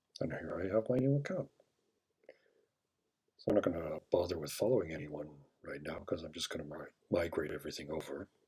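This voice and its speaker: The speech is mumbled and somewhat breathy at a fairly quick pace, with lively intonation. Loudness swings widely, and long pauses come often. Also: man, very deep, low pitch for a man. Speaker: software walkthrough presenter. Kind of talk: screen-recorded tutorial narration. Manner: mumbling.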